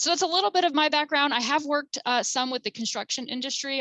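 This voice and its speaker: Speaking at a very fast pace with lively intonation, a woman with an American accent has a bright, sharp tone in a dry, close sound with no echo. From New Jersey (Jersey Shore). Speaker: keynote speaker and counselor. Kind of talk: webinar presentation. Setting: webinar.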